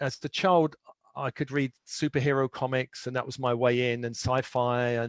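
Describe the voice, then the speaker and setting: The recording is dry and close, with no echo. A man with a London accent speaks at a medium pitch in a monotone, flat intonation. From London, England. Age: 60s. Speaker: spiritual teacher and author. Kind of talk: interview.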